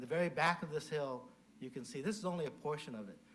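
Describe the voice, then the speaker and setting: In an American accent, a man speaks with very wide pitch swings, and audible room echo can be heard. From US West Coast (Mountain View, California). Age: 70s. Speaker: Buddhist minister. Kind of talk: dharma talk. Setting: temple service, in person and virtual.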